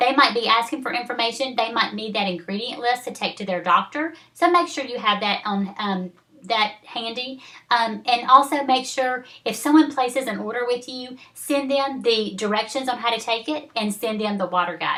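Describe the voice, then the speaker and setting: A woman speaks in a high pitch with a Southern US accent and ordinary pitch variation. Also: moderate pace. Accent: Southern accent, noticeable. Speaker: network marketing team leader. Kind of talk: training video. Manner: casual, halting with fillers.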